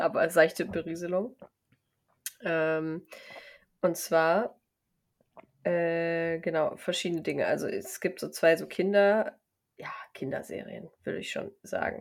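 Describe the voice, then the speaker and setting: With fairly even intonation, the speaker goes very slowly and leaves long, frequent pauses. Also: woman, fairly low pitch for a woman. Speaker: podcast co-host. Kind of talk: casual chat.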